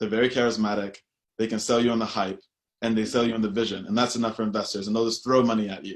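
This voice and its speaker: In a strong American accent, a man talks very fast at a medium pitch with fairly even intonation. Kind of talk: panel discussion.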